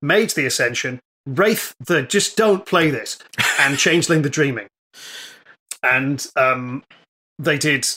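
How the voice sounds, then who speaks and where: A man speaks with an English accent at a very slow pace. His tone is bright and sharp. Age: 40s. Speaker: comedian and game master. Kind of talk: casual chat.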